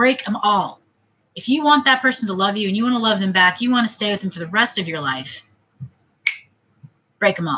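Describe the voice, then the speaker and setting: Medium in pitch, a woman talks at a fairly quick pace with lively intonation. She leaves long, frequent pauses. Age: 30s. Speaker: vlogger. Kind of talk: casual monologue vlog.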